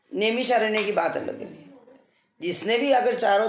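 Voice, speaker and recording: A woman is heard with audible room echo. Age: 60s. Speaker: devotional vlogger. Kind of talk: casual talk about pilgrimage. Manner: hesitant with fillers.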